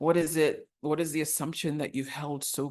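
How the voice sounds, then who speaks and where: A woman with an American accent at a moderate pace, over a quiet background. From Ghanaian family raised in the US. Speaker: leadership speaker and author. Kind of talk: motivational talk.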